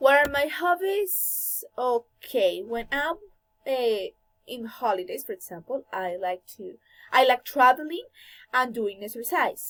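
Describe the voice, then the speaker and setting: A high-pitched woman with a Colombian accent, very wide pitch swings and big jumps in loudness, in a very clean, dry, close recording with no echo and a silent background. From Colombia, Bogotá. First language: Spanish. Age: 20s. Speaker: language student. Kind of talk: class presentation. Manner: halting.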